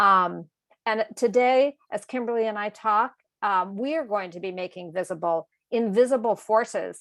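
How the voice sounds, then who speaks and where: A woman speaks in a normal speaking voice with an American accent, her pitch medium and its variation ordinary. The background is quiet. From Massachusetts, US. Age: 60s. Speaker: author and educator. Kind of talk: moderated conversation.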